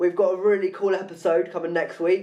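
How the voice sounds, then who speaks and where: A man talks with a high pitch. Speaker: podcast host. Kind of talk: casual chat.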